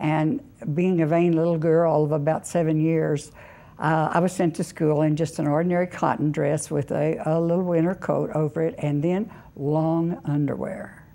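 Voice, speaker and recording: A woman talks with an American accent and a fairly low pitch. Her tone is dark and mellow, her intonation fairly even. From Oklahoma. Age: 80s+. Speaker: interviewee, mother. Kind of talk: casual interview.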